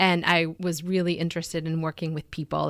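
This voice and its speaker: A woman with a very deep, low pitch. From Venezuela, then Boston from age nine. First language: Spanish. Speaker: physician. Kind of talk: radio interview.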